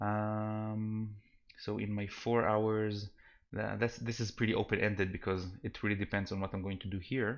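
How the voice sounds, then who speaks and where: This man talks in a fairly low voice with a non-native accent and a monotone, flat intonation. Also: moderate pace. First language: not English. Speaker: game developer streamer. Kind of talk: live stream commentary. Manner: soft-spoken, quiet; halting, many fillers and restarts.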